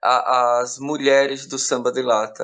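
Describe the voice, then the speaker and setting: This man speaks in a Bahian sertão accent. His intonation is monotone and flat. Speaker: podcast team member. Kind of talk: casual chat. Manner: halting, with repetitions.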